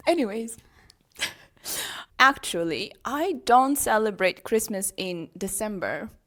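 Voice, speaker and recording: Lively intonation and long, frequent pauses mark this very slow delivery in a Ukrainian accent. The recording is very clean, with a silent background. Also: woman, fairly high pitch for a woman. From Ukraine. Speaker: international teacher, podcast co-host. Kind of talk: casual chat.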